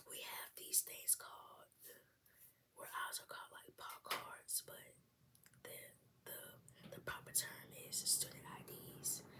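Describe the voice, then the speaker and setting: A woman whispers at a very slow pace with long, frequent pauses and big swings in loudness. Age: young. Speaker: college student. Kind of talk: casual talk to camera.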